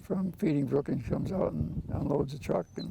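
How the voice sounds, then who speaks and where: A male voice is heard. Behind it runs clear background noise. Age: 80s+. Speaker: produce farmer, gardener. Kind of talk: interview answer.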